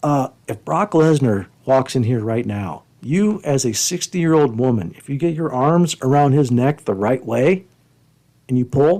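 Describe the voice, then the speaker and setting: With an American accent, a man speaks at a medium pitch and fairly slow pace, his dark, mellow tone carrying lively intonation and big swings in loudness. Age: 50s. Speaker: podcast host and wrestling coach. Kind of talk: casual chat.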